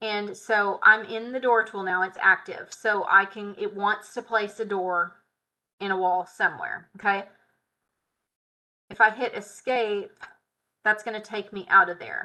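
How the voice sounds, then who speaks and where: In a Southern US accent, a woman speaks at a fairly slow pace in a medium pitch with a bright, sharp tone, monotone and flat intonation, long, frequent pauses and big swings in loudness, over a quiet background. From US South. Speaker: software tutorial instructor. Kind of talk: live tutorial. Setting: live stream. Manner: casual. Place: home room. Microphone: webcam.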